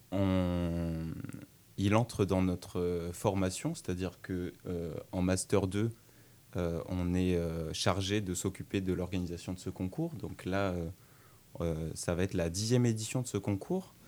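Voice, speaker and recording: In a very deep, low voice with a dark, mellow tone, a man speaks at a very slow pace with fairly even intonation and long, frequent pauses. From France, Tours. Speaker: law student, contest organizer. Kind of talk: radio interview. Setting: radio studio.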